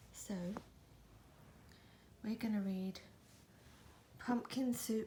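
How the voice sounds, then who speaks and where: Soft-spoken and somewhat breathy, a woman speaks at a very slow pace with a gentle, dark, mellow tone and fairly even intonation. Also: fairly high pitch for a woman. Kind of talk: casual talk to the cat. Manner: soft, gentle, relaxing.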